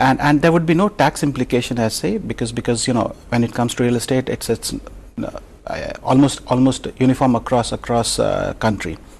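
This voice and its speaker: Noticeable noise sits behind speech delivered at a fairly quick clip. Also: man, medium pitch for a man, ordinary pitch variation. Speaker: real estate research head. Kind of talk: TV interview. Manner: halting, many fillers.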